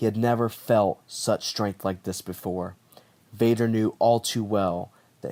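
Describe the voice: What we hear is plain reading aloud.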